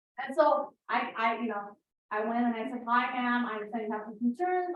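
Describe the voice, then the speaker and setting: Speaking at a fairly quick pace with an American accent, a woman uses a high pitch. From Iran and US (bicultural; Tehran-born, later California). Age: 50s. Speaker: social worker and speaker. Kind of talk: Q&A after a talk. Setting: public library event with audience. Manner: hesitant, many fillers and repetitions.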